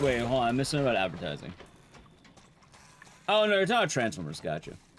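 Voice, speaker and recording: Over noticeable background noise, a man talks at a very fast pace. His pitch swings very widely. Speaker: speedrunner streamer. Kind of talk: casual live-stream chat.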